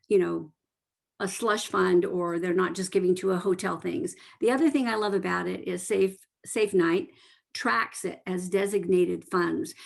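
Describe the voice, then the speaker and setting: Her pitch is medium and her pace moderate as the woman talks. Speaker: nonprofit program coordinator. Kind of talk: presentation. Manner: animated.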